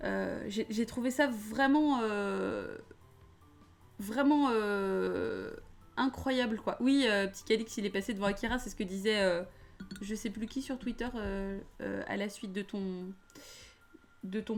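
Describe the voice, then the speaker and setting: A woman's fairly high pitch with ordinary pitch variation, at a very slow pace with long, frequent pauses, over music in the background. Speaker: film reviewer streamer. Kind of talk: live stream film debrief. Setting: live stream. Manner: hesitant, many fillers.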